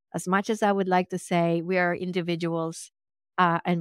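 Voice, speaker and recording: A woman with a Swedish accent talks at a fairly low pitch and a moderate pace. The recording is very clean with a silent background and a dry, close sound with no echo. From Sweden. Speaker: physician and medium. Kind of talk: interview. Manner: animated.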